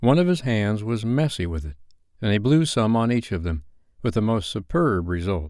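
A passage read aloud in a natural voice.

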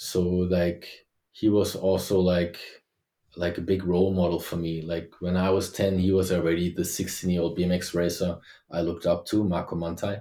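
A man with a German accent speaks at a moderate pace in a very deep, low voice with a dark, mellow tone and monotone, flat intonation, on a very clean recording with a silent background. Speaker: former BMX world champion. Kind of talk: interview.

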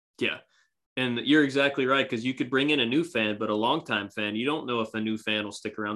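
A man is talking at a fairly quick clip. There is music in the background. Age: 20s. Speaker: amateur podcaster and baseball fan. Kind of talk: casual chat.

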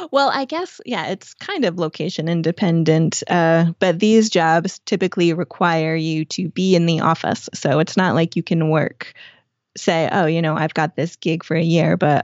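Her pitch is fairly low, with ordinary variation, at a moderate pace. The woman has a normal speaking voice. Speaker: expat working contract job in Europe, travel storyteller. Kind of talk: casual interview chat.

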